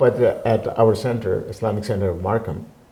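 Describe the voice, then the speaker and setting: Noticeable background noise sits under the recording. A man talks at a moderate pace. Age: 70s. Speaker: community centre president, retired businessman. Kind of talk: interview. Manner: halting, many fillers.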